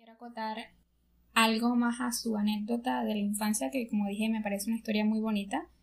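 At a moderate pace, a woman speaks in a fairly high, somewhat breathy voice. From Venezuela. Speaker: podcast co-host, engineering student. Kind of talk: casual chat. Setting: sitting on a bed at home.

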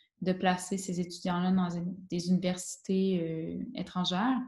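A woman's somewhat breathy, dark and mellow voice at medium pitch and a moderate pace. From Quebec. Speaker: teacher. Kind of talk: interview.

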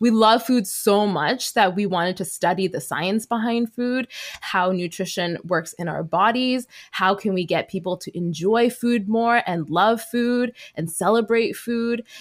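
In a Canadian accent, a woman talks at a fairly slow pace with a plain, everyday voice, a medium pitch and ordinary pitch variation. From Canada, Vancouver. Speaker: dietitian and mental health podcaster. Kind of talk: casual chat.

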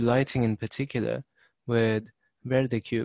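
At a moderate pace, a man with a plain, everyday voice speaks at medium pitch. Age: young. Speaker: podcast host and student. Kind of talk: interview.

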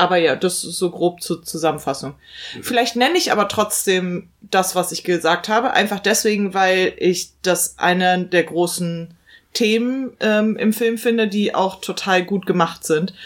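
A woman with a plain, everyday voice speaks fairly slowly at medium pitch with ordinary pitch variation. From Germany, big-city suburb. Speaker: film podcast co-host. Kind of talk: casual chat.

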